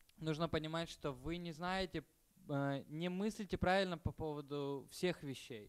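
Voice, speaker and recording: A man with a fairly high pitch, ordinary pitch variation and a fairly slow pace. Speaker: interpreter. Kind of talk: lecture. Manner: halting.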